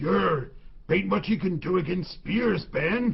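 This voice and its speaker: A man's raspy, put-on character voice, high in pitch, at a fairly slow pace. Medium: audio drama. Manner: rustic, plain.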